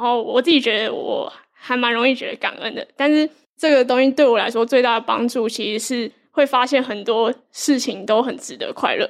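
Her pitch high and her intonation fairly even, a woman speaks at a moderate pace. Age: young. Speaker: reading notes creator, co-host. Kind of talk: live book club discussion. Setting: live event with audience.

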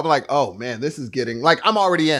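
Very clean recording with a silent background of a man with fairly high pitch and lively intonation. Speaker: podcast co-host. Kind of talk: casual chat. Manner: loud; animated.

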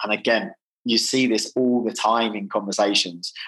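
A man is speaking here. His pitch is medium and his intonation fairly even. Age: 40s. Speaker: sales software company founder. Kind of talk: podcast interview. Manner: halting.

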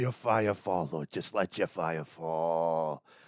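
Using a put-on character voice, a man speaks very slowly in a very deep, low pitch. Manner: mocking, preachy, fervent.

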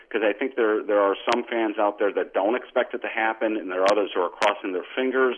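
Here is a man with a normal speaking voice at a medium pitch. He speaks at a fairly quick pace with fairly even intonation. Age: 50s. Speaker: sports website editor. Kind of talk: casual interview.

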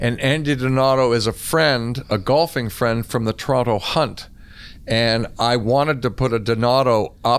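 A man with a Canadian accent speaks at a moderate pace and medium pitch, with a plain, everyday voice. His loudness is very even and his intonation fairly even. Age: 60s. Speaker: former squash champion. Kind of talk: interview conversation.

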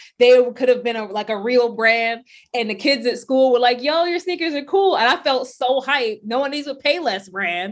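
Her pitch fairly high and its variation ordinary, a woman speaks at a moderate pace. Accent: American. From US Northeast, Brownsville, Brooklyn, New York. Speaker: career coach for athletes, company founder. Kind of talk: interview.

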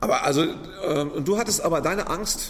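Very slowly, a man speaks as noticeable noise fills the background. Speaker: podcast host and cabaret artist. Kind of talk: podcast intro and outro narration; casual chat. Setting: empty café with some reverb.

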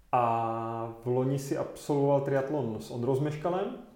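With fairly even intonation, a man speaks at medium pitch in a dark, mellow tone, and audible room echo is present. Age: 30s. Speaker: cycling podcast host. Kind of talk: casual interview.

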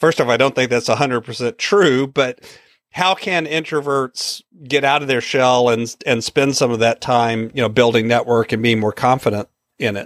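Recorded dry and close with no echo, a man's unremarkable speaking voice holds a medium pitch, a moderate pace and ordinary pitch variation. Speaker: podcast host. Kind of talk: interview.

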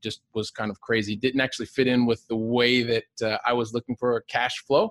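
Someone with an American accent talks at a fairly quick pace in an ordinary speaking voice with fairly even intonation. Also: man, dry, close sound with no echo. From Ohio, US Midwest. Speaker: real estate investor with a day job in software. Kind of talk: podcast interview. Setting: remote call.

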